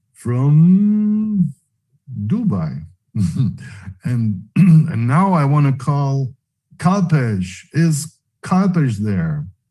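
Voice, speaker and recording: With a dark, mellow tone and fairly high pitch, a man speaks somewhat breathily at a very slow pace, leaving long, frequent pauses and making very wide pitch swings. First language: not English. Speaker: webinar host. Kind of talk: live online event hosting. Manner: halting.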